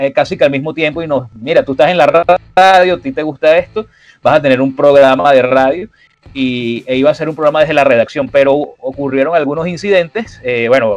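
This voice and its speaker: This man talks at a fairly quick pace, his pitch fairly high with ordinary variation. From Venezuela. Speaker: sports journalist and radio host. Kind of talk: interview conversation. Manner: hesitant with many fillers and repetitions.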